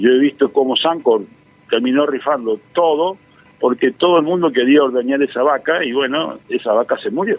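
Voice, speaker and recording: A man's fairly high-pitched voice at a moderate pace, with ordinary pitch variation and noticeable background noise. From Argentina, Santa Fe province. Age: 60s. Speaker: economist and professor. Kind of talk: radio interview. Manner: hesitant, many fillers and repetitions.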